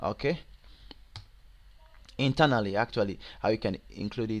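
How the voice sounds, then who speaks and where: The speaker has a Nigerian accent. Pitch varies in an ordinary way. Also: man. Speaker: web programming tutor. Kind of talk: tutorial. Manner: halting, many fillers.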